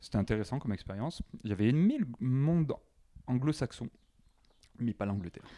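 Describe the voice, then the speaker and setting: A man with a southern French accent talks at a fairly quick pace in a calm, relaxed tone, with a dark, mellow timbre at medium pitch, long frequent pauses, and a dry, close sound without echo. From southwest France, Carcassonne. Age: 20s. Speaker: expatriate sharing dating life. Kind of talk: casual interview chat.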